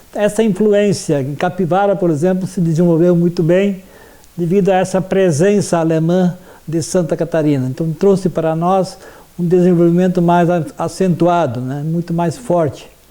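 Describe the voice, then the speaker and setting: Fairly even intonation at a moderate pace. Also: man. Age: 60s. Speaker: history teacher. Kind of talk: interview testimony. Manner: halting, with frequent fillers.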